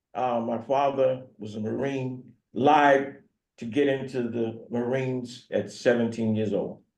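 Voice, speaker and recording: In a room with audible echo, a man with an American accent speaks at a medium pitch and a fairly slow pace, his intonation monotone and flat. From US South, North Carolina (Franklin County). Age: 70s. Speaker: pastor. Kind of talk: talk to community group. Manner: halting.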